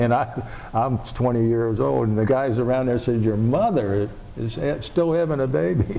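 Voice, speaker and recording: A man talks at medium pitch and moderate pace, with noticeable background noise and audible room echo. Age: 70s. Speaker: oral history interviewer. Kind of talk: oral history interview. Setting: public library.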